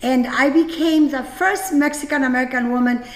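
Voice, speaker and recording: In a room with audible echo and noticeable background noise, a woman with a high pitch and ordinary pitch variation speaks at a moderate pace. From Mexico (Jalisco), raised from childhood in Napa Valley, California. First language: Spanish. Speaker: winery owner and event host. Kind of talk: personal testimony at a virtual gala. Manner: halting, many fillers.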